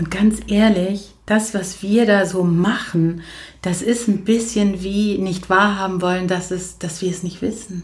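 The voice is somewhat breathy, with monotone, flat intonation. The pace is very slow. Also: woman, medium pitch for a woman. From Germany. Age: 40s. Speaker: coach and social worker. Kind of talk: casual chat. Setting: in a living room. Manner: moderate pace, neither hectic nor slow.

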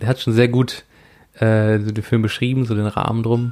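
A man speaks with monotone, flat intonation. His pace is fairly slow. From rural Germany. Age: 20s. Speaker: podcast host. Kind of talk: casual chat.

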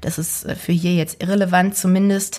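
Somewhat breathy, a woman speaks at a moderate pace in a medium pitch. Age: 20s. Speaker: actress and podcast host. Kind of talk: solo podcast monologue.

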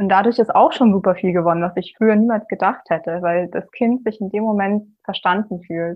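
A woman has an ordinary speaking voice, medium in pitch, with fairly even intonation, a moderate pace and hardly any pauses. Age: 20s. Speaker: physics student and single mother. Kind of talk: interview about personal experience.

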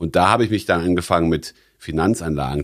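A man with very deep, low pitch and vocal fry on a very clean recording with a silent background. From Rhineland, Germany (born in Stuttgart). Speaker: financial entrepreneur. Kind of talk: interview. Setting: jazz club. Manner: hesitant with fillers.

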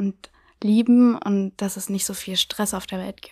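In a very clean recording with a silent background, a woman speaks in a fairly high pitch with monotone, flat intonation. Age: 20s. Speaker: blind date contestant. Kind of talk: casual chat.

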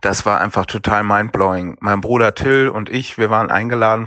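The speaker uses a normal speaking voice. Words come at a fairly slow pace with fairly even intonation. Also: man. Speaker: son of a late actor. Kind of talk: recorded voice message answers. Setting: voice message.

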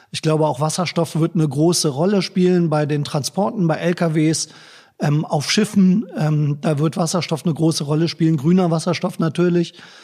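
A man with a dark, mellow tone and fairly high pitch speaks at a moderate pace with fairly even intonation. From northern Germany, Braunschweig. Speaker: politician, election candidate. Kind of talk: interview. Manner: hesitant, many filler sounds.

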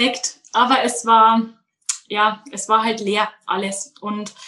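Fairly high in pitch, a woman's voice comes across with a bright, sharp tone. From Bavaria, Munich outskirts. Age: 20s. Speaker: daycare centre manager. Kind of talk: interview.

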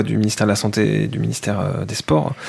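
Over noticeable background noise, a man talks at a fairly quick pace in a fairly low pitch with fairly even intonation. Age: 30s. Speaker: sports journalist. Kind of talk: interview about his investigation.

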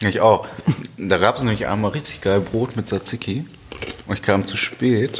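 There is noticeable background noise as a man speaks at a fairly low pitch with ordinary pitch variation. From Germany, Westphalia (Halle). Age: 20s. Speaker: podcast guest. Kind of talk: casual chat.

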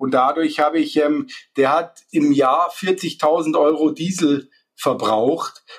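Speaking at a very slow pace, a man uses a fairly high pitch. His intonation is fairly even and his loudness barely changes at all. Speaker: solar installer. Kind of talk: interview. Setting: remote call. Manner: halting, many fillers.

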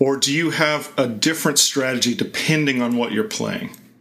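With lively intonation and a fairly high pitch, a man speaks against noticeable background noise. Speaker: podcast host. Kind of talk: interview conversation.

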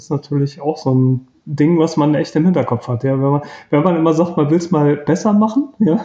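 Fairly high in pitch yet dark and mellow in tone, a man speaks somewhat breathily at a fairly quick pace with ordinary pitch variation. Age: 50s. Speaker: self-employed in personal development. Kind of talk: interview, personal love story.

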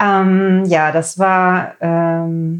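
This woman's voice sits at a fairly low pitch with fairly even intonation. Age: 40s. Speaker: lab technician and ayurveda cook. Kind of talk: casual interview chat.

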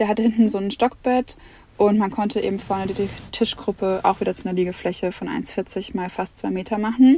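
Medium-pitched speech from a woman, with ordinary pitch variation, at a fairly quick pace. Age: 20s. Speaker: family traveller and social media creator. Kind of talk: podcast interview. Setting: inside a motorhome.

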